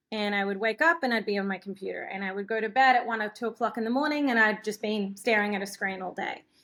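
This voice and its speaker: A woman with an Australian accent talks at a very fast pace, her tone bright and sharp, her pitch fairly high, and her pitch variation ordinary. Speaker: filmmaker. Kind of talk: interview answer. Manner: casual, chatty.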